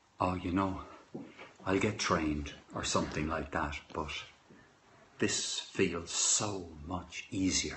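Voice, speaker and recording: The speech moves at a very slow pace, broken by long, frequent pauses. Intonation stays fairly even, and the room echo is audible. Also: man, very deep, low pitch for a man. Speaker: livestream host reading poetry. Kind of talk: casual chat. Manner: soft-spoken.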